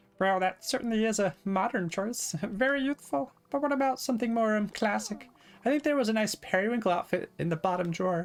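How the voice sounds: A man uses a squeaky, put-on character voice pitched high. He talks at a fairly quick pace with ordinary pitch variation.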